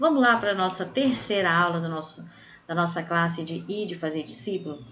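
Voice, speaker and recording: Audible room echo surrounds a woman as she speaks. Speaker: bible class teacher. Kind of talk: lecture.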